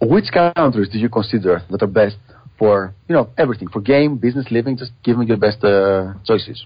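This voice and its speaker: A man speaks in a Greek accent at medium pitch. His pace is fairly quick, with ordinary pitch variation. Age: 40s. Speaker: podcast host. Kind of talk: interview.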